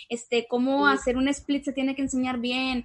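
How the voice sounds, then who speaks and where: Her intonation monotone and flat, a woman speaks at a high pitch. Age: 20s. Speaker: dancer and dance teacher. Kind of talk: casual chat.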